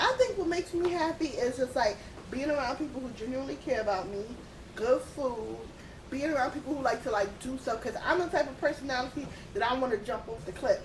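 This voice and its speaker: Over noticeable background noise, a woman with a New York accent talks at a very fast pace with high pitch and lively intonation. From Queens, New York City. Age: 30s. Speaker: podcast guest. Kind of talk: casual chat. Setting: at the beach.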